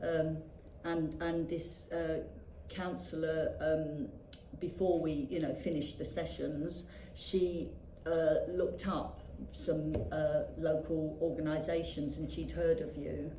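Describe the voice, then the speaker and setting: A woman talks very slowly, with audible echo from the room and noticeable noise in the background. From England, London (Greenwich). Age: 60s. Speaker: yoga teacher. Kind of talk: interview. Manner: halting, many fillers.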